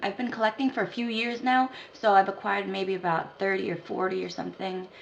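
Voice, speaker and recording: Against noticeable background noise, a woman with a medium pitch speaks at a fairly quick pace with lively intonation and an American accent. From Philippines, raised in the United States from age two. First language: not English. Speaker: dance instructor and choreographer. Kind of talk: casual talk to camera. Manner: casual, chatty.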